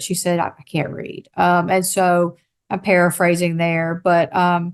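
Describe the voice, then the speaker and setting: At a moderate pace, a woman with a Southern US accent and a fairly low voice speaks against a quiet background. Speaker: state behavioral health official. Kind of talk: conference talk.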